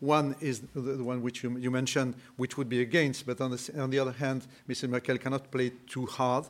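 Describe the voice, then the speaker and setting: A man with a French accent speaks at a fairly quick pace with hardly any pauses, his medium pitch held in a flat, monotone line. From France. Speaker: entrepreneur. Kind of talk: panel discussion.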